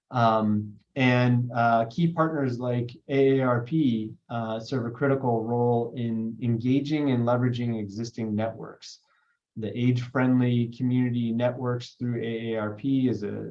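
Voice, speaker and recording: There is audible room echo as a man with a medium-pitched voice talks at a fairly slow pace in monotone, flat intonation. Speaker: state broadband official. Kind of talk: webinar panel talk.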